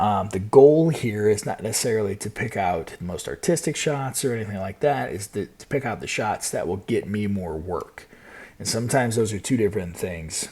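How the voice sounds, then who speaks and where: A man's fairly low, dark, mellow voice, somewhat breathy, with an American accent, lively intonation and a fairly quick pace. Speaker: wedding photographer and live streamer. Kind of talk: live stream tutorial. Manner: casual, with filler words and repetitions.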